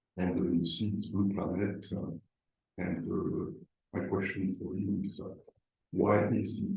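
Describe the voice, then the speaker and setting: Audible room echo surrounds a man who talks at a moderate pace in a fairly low voice with vocal fry and fairly even intonation. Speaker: lecturer. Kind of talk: lecture. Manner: halting, many fillers.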